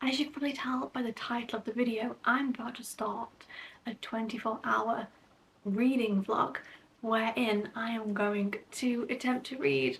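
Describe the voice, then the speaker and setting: Noticeable background noise runs under a woman with a fairly high voice. She speaks at a fairly slow pace with ordinary pitch variation. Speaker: book vlogger. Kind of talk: casual vlog talk to camera. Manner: whispering.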